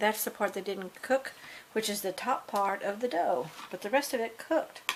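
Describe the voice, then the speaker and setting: A woman speaks at a fairly high pitch. Noticeable background noise runs behind her. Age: 60s. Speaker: home cooking video creator. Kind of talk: casual cooking tutorial. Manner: chatty, informal.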